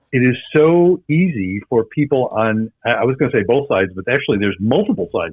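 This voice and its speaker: A man at medium pitch, fairly quick with hardly any pauses, his pitch swinging very widely. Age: 70s. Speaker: psychologist and couples therapist. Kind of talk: casual podcast interview. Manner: halting, repeats words.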